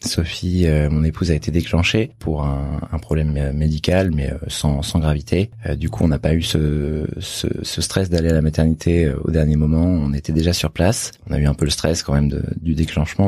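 Over noticeable background noise, a man with a very deep, low voice speaks at a moderate pace with fairly even intonation. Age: 30s. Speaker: doctor. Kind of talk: testimony. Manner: halting.

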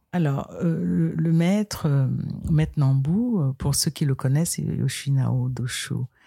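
This somewhat breathy, dark and mellow voice speaks in a calm tone at a very slow pace, with very wide pitch swings and very even loudness. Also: woman, very deep, low pitch for a woman. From Cameroon, western region. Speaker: karate practitioner. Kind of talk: interview.

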